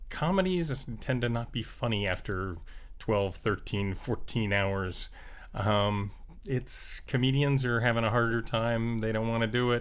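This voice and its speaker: At a fairly slow pace, a man with an American accent talks in a plain, everyday voice of medium pitch with ordinary pitch variation. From South Florida. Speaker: Steadicam operator. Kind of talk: casual chat. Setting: in person, over beers.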